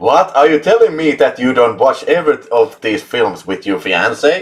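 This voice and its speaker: A man with a Finnish accent talks at a moderate pace. Noticeable background noise sits behind him. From Finland. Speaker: YouTube film channel host. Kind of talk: casual live chat. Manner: animated.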